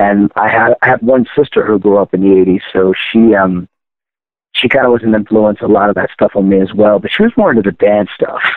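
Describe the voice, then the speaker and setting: A man with an American accent, fairly low in pitch, at a fairly quick pace with fairly even intonation and very even loudness. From Baltimore, Maryland. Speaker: rock singer. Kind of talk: casual interview.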